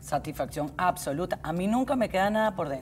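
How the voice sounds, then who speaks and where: With music in the background, a woman speaks at a fairly quick pace in a fairly low pitch. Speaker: election organizer, volunteer. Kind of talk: interview.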